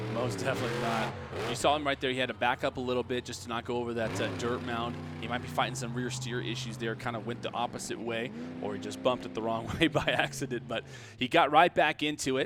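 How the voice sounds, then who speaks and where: A man at a medium pitch with ordinary pitch variation, talking very fast over noticeable background noise. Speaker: monster truck show commentator. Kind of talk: play-by-play sports commentary.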